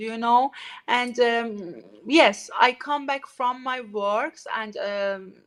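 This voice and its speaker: In a Persian accent, a woman speaks very slowly in a bright, sharp tone. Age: 40s. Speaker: artist community founder. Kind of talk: interview. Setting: live stream. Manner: halting.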